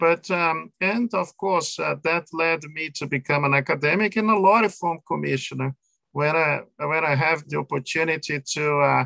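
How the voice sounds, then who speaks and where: A man's voice has a bright, sharp tone and a fairly high pitch. The sound is dry and close, with no echo. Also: ordinary pitch variation, moderate pace. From Brazil. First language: Portuguese. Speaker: law professor. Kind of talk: interview. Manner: halting, many fillers.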